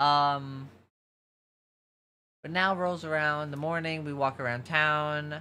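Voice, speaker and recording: Amid audible room echo, a man with an American accent speaks very slowly in a bright, sharp tone, at a fairly high pitch with monotone, flat intonation. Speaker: streamer. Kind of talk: casual chat. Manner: halting, many fillers and restarts.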